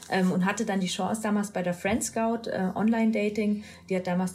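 Somewhat breathy and dark, mellow in tone, a woman's voice carries fairly even intonation. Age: 40s. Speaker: e-commerce executive. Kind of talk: interview.

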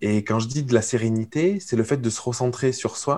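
In a plain, everyday voice, a man talks at a fairly quick pace, keeping a medium pitch and ordinary pitch variation. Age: 30s. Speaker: entrepreneur coach. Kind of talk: casual chat.

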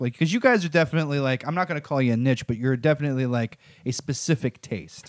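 A man talks at a fairly quick pace with an American accent. The recording is very clean, with a silent background. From Missouri and Arkansas, US. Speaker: podcast host. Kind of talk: casual interview chat.

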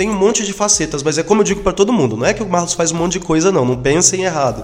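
A man speaks at a very fast pace with a high pitch and hardly any pauses. Music plays in the background. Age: 40s. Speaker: singer, DJ and radio host. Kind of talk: interview.

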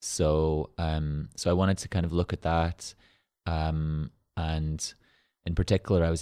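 In a very clean recording with a silent background and a dry, close sound with no echo, a man speaks with an Irish accent. His very deep, low voice has a dark, mellow tone and monotone, flat intonation. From rural Ireland. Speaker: arts center founder and artist. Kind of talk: interview conversation. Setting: studio.

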